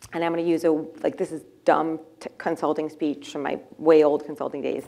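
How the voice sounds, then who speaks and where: Speaking fairly quickly in a Boston accent, a woman has a very deep, low pitch and a dark, mellow tone. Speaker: startup founder and CEO. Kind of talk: fireside chat. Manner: animated.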